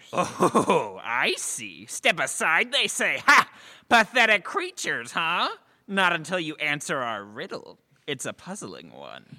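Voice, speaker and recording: Delivered at a fairly slow pace and a middle pitch, this put-on character voice sits in a very clean recording with a silent background. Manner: blustering, gloating.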